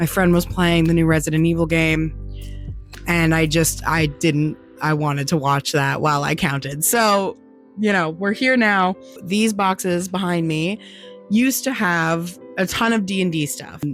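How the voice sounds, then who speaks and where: Fairly low, fairly slow speech from a woman with ordinary pitch variation and very even loudness, music in the background. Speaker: small business maker selling at markets. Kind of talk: casual talk to camera.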